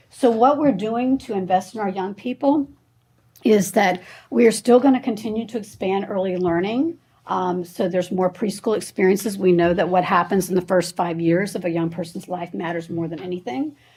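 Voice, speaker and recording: This woman's voice sits at a medium pitch, somewhat breathy with a dark, mellow tone and ordinary pitch variation. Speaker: school superintendent presenting budget. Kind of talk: budget presentation at public meeting. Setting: school board meeting. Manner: fast; hesitant, many fillers.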